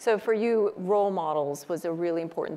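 A woman talks at a moderate pace. She has an American accent. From US. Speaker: panel moderator. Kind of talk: panel discussion. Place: stage. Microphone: lapel.

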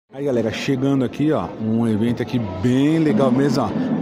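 A man speaks over music playing in the background. The sound is dry, with no echo. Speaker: toy collector vlogger. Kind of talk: casual vlog chat. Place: hall. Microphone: phone near.

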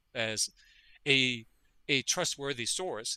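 Here a man talks with a Danish accent in a bright, sharp tone. The sound is dry and close with no echo, in a very clean recording with a silent background. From Denmark. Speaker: veterinary parasitologist. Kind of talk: interview conversation.

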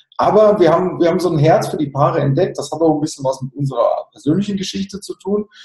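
A man with a high pitch talks very fast with hardly any pauses, against a quiet background with audible room echo. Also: ordinary pitch variation. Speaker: sales and marketing consultant. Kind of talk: interview. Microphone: video call.

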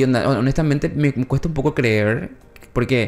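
A man's fairly high pitch at a moderate pace. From Paraguay. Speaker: news show co-host; news podcast co-host. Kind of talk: casual news chat. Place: studio. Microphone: studio mic.

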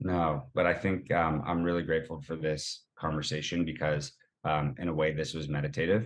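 A man's very deep, low voice in an American accent, with ordinary pitch variation at a moderate pace. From Boston, US. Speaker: running community founder. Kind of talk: casual interview chat. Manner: energetic.

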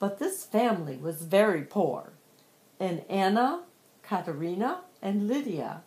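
The speaker does plain reading aloud.

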